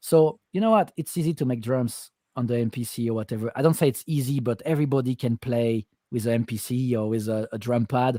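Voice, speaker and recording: Delivered at a fairly quick pace with a non-native accent, the voice has a dark, mellow tone and ordinary pitch variation, recorded very cleanly against a silent background with a dry, close sound and no echo. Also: man, medium pitch for a man. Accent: foreign accent, self-described. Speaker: music producer. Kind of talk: casual chat. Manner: halting, repeats words.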